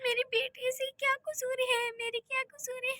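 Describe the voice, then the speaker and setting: A woman performs a put-on character voice at an extremely high pitch. Her intonation is monotone and flat, and the pace is moderate. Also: dry, close sound with no echo. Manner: sobbing, lamenting.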